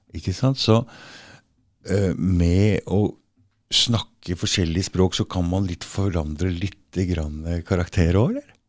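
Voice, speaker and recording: Here a man with an Oslo accent speaks in a very deep, low pitch with ordinary pitch variation, at a fairly slow pace broken by long, frequent pauses. The recording is very clean, with a silent background. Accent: Oslo east-side dialect. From Norway, eastern Oslo area. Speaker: podcast host. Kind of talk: casual interview chat.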